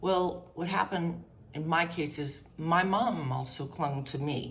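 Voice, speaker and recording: A woman's very deep, low voice at a very slow pace, with ordinary pitch variation and audible room echo. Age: 60s. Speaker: mental health vlogger. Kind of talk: personal testimony. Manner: halting.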